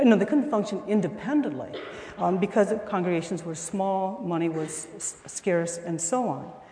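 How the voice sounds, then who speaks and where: The speaker has an American accent and lively intonation. Room echo is audible, and background noise is noticeable. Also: woman, medium pitch for a woman, moderate pace. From northwest Ohio. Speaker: art professor. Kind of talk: testimony. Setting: chapel service with audience.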